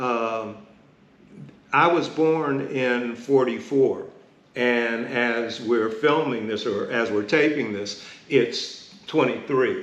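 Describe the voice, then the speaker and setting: Over noticeable background noise and audible room echo, a man with an American accent and a medium pitch talks at a very slow pace with fairly even intonation. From Pittsburgh, Pennsylvania (Hill District). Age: 70s. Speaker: community elder and columnist. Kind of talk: oral history interview.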